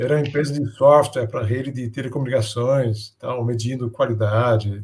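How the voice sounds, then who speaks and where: A man with a Danish accent speaks in a dark, mellow tone that is somewhat breathy. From Denmark. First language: Danish (speaking Portuguese). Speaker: business innovation speaker. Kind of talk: interview. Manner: halting, with many fillers.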